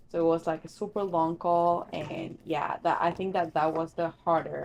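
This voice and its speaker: At a moderate pace, a woman speaks with a fairly low pitch and flat, monotone intonation. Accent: non-native. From Argentina. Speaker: secretary at a law firm. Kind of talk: casual chat.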